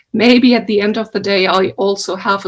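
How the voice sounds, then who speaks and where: Speaking with a non-native accent, a woman holds a medium pitch and fairly even intonation. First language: not English. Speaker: researcher and event organizer. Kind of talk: welcome speech. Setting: video call.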